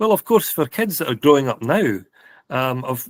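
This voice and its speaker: In a very clean recording with a silent background and a dry, close sound with no echo, a man with a Scottish accent talks at a moderate pace. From Scotland, Stirling. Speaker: podcast co-host. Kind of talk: casual chat.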